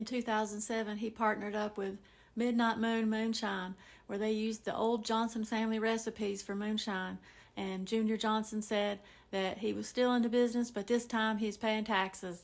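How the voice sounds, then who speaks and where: A woman's fairly high, monotone, flat voice at a moderate pace, in a very clean recording with a silent background. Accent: Southern Appalachian. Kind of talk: casual storytelling to camera.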